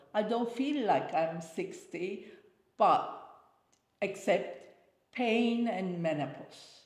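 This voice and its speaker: Through audible room echo, a woman speaks at a very slow pace with long, frequent pauses, a somewhat breathy voice and lively intonation. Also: medium pitch for a woman. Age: 60s. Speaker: interviewee, host's mother. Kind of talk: casual interview chat. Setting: sitting on a sofa.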